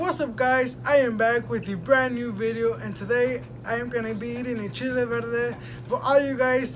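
The voice belongs to a man. Light background noise is present. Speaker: vlogger. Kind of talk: casual vlog chat.

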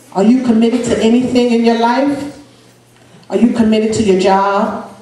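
A woman speaks at a moderate pace with ordinary pitch variation. There is audible room echo. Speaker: preacher. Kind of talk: sermon. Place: church.

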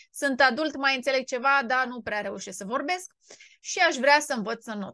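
Against a quiet background, a woman speaks at a moderate pace in a high pitch. Her tone is animated, bright and sharp, with lively intonation. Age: 30s. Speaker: English teacher, YouTuber. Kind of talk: casual vlog monologue. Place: home room. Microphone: studio mic.

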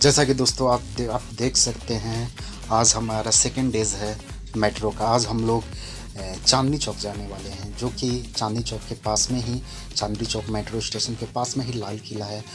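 A man talks at a fairly slow pace as clear music plays in the background. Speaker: travel vlogger. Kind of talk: casual vlog chat. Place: station. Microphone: phone near.

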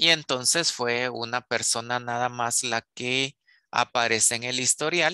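A man's bright, sharp, medium-pitched voice at a fairly slow pace, with ordinary pitch variation, a dry sound with no echo and a quiet background. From Guatemala. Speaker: university lecturer. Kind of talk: online lecture. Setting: video call. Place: home room. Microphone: headset.

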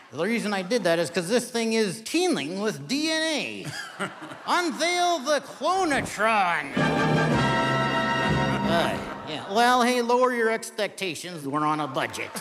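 Over loud background music, a man speaks at a very slow pace. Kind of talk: comedy stage performance. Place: stage.

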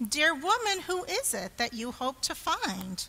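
A put-on character voice, bright and sharp in tone, with vocal fry, big pitch swings, a fairly slow pace and faint background noise. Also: woman, high pitch for a woman.

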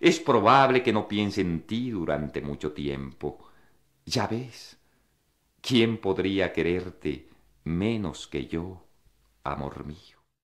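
Very slowly and with long, frequent pauses, a man with a very deep, low pitch speaks with lively intonation. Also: very clean recording, silent background. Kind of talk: poem reading, intimate, read aloud. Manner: slow, measured, contemplative, wistful.

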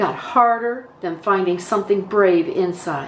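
Light background noise sits under a woman talking at a fairly slow pace. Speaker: story reader. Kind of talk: children's story read-aloud. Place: home room. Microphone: webcam.

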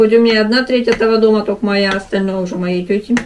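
Against light background noise, a woman talks at a fairly quick pace with fairly even intonation. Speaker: vlogger. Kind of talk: casual mukbang vlog chat. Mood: mildly annoyed, joking. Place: home room. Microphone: camera far.

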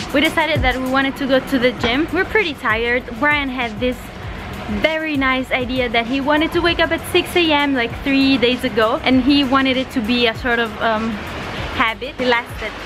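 A woman's high-pitched voice at a moderate pace, with ordinary pitch variation and noticeable background noise. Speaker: vlogger. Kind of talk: casual vlog chat. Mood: tired but cheerful. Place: street. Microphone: phone near.

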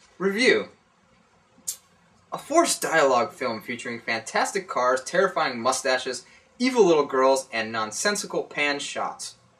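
Noticeable background noise surrounds a man speaking at a moderate pace. His voice is fairly high-pitched and swings very widely in pitch. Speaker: staff writer. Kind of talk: movie review reading.

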